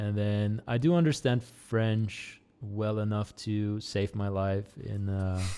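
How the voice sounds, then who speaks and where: A man speaks very slowly in a fairly low pitch, with a dark, mellow tone and fairly even intonation. The recording is very clean, with a silent background. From Netherlands. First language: Dutch. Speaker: small YouTuber. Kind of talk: casual chat. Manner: halting.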